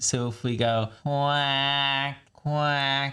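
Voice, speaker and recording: The voice has a bright, sharp tone and fairly even intonation, with a North American accent. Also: man. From North America (Canada or US). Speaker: voice coach. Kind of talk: tutorial. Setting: studio.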